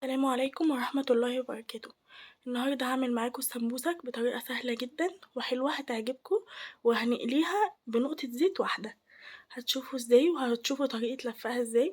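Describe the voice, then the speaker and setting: Her voice is high-pitched, with ordinary pitch variation. The woman keeps a moderate pace. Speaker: home cooking channel host. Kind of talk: cooking tutorial. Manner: casual, halting with restarts.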